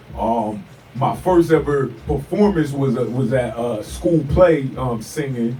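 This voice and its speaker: A medium-pitched man with an American accent, with audible room echo and noticeable background noise. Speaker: rapper. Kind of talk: radio interview. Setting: radio studio. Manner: halting.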